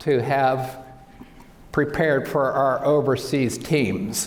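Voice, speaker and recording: There is audible room echo and noticeable background noise as a man with a fairly high pitch speaks. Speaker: optometrist. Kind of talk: lecture.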